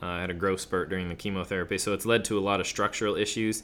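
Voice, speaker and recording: Speaking very fast, a man with an American accent keeps a monotone, flat intonation. His voice is fairly low, with a bright, sharp tone. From Kansas, US Midwest. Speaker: rapper. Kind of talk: interview. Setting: studio.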